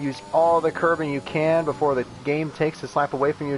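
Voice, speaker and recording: Against noticeable background noise, a man with an American accent talks in a fairly high pitch. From United States. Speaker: sim racing commentator. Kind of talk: live commentary.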